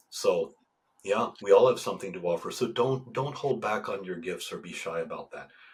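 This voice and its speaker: A man is speaking here. His pace is fairly quick. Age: 60s. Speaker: Orthodox priest and men's coach. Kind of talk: podcast interview. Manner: halting, repetitive starts.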